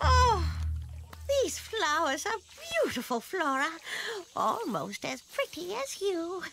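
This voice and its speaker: In a put-on character voice, a female-sounding speaker at an extremely high pitch uses a cheerful tone at a fairly slow pace, with long, frequent pauses. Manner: cheerful, fluttery, chatty.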